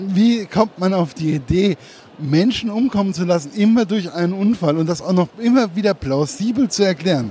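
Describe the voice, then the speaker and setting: Amid noticeable background noise, a man with a high pitch talks at a fairly quick pace with lively intonation. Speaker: interviewer. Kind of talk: interview.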